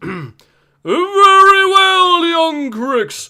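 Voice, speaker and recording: A man speaks in a put-on character voice. His pitch swings very widely. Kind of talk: formal, archaic. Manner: pompous, imperious.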